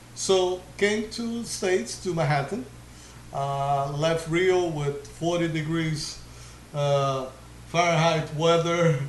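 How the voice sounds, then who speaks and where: A very slow voice with a Portuguese accent, noticeable background noise and audible room echo. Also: man, fairly high pitch for a man, ordinary pitch variation. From Brazil, Rio de Janeiro. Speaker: DJ. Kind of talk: interview.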